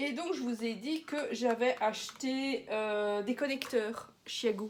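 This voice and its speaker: Very slow, high-pitched speech from a woman, with ordinary pitch variation. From Belgium. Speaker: knitting podcaster. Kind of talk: casual chat. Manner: hesitant, with many fillers.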